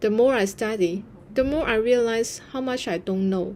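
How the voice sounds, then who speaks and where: Speaking at a moderate pace, a woman with a Chinese accent has a fairly high pitch. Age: 30s. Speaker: content creator. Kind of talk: vlog narration.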